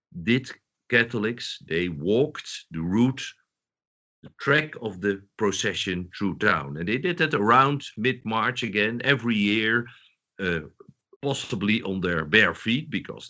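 The speaker talks at a fairly slow pace with a Dutch accent. The pitch swings very widely. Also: man. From southern Netherlands. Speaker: historian, professor. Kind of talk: interview. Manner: halting.

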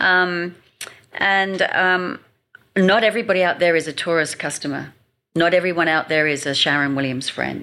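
A woman's fairly low voice, bright and sharp in tone, with ordinary pitch variation at a moderate pace. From England. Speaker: marketing expert and speaker. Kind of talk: casual interview chat.

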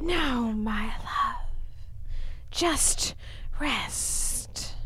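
A put-on character voice, female-sounding and extremely high in pitch, plays over clear background noise. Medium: audio drama. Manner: sultry, teasing.

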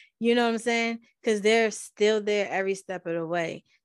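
Over a quiet background, a woman with an ordinary speaking voice talks at a moderate pace and a fairly high pitch, with ordinary pitch variation. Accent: American. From Baltimore, US. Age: 30s. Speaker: podcast host and abuse survivor advocate. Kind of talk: testimony.

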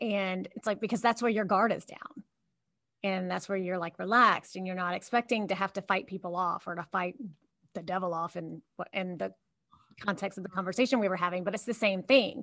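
A woman speaks with a Southern US accent. Her pace is fairly quick. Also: medium pitch for a woman, ordinary pitch variation. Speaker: podcast co-host. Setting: remote recording from office.

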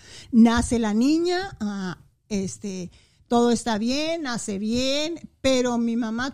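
The recording is very clean, with a silent background. A high-pitched woman speaks with lively intonation. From Chihuahua, Mexico. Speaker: mother of the host. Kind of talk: casual family chat.

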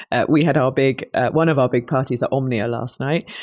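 A woman with a British accent speaks at a very deep, low pitch and a fairly quick pace. Her pitch variation is ordinary, and the background is quiet. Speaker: conference company CEO. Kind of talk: casual interview chat. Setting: conference venue.

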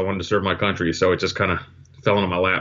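Someone speaks with a New Jersey accent. The pace is very fast. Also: man. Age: 50s. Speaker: retired intelligence officer. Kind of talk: interview. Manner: halting with many repetitions.

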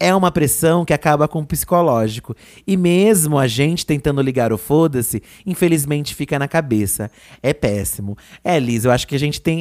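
An ordinary speaking voice comes through with lively intonation. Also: man. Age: 30s. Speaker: podcast co-host. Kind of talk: casual chat.

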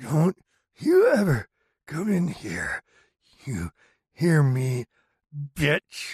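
A growling put-on character voice at a very slow pace, with lively intonation and long, frequent pauses. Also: man, fairly high pitch for a man. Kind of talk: horror narration. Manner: screaming pleas, then snarling abuse.

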